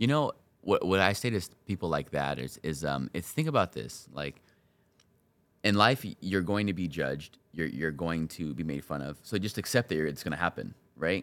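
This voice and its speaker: Vocal fry and an American accent at a moderate pace. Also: man, very deep, low pitch for a man, lively intonation. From Southern California, Inland Empire. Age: 20s. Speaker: content creator. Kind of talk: casual interview.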